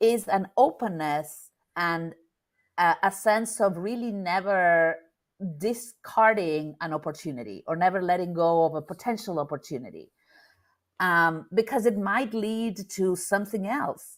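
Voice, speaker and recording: The speaker has a Spanish accent and ordinary pitch variation. The pace is fairly slow. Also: woman, medium pitch for a woman. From Argentina, Buenos Aires. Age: 50s. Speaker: business networker. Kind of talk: interview.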